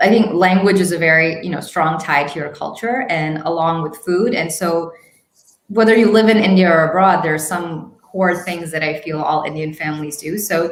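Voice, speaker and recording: The woman's voice is fairly low, with ordinary pitch variation, delivered at a moderate pace. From international upbringing, six countries. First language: Hindi. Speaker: YouTube marketing expert. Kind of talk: interview conversation.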